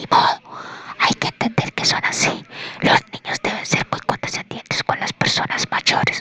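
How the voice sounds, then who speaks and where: A whispered voice, moderately paced, comes through with noticeable background noise. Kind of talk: whispered ASMR audiobook reading, sleep story. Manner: whispered, soft.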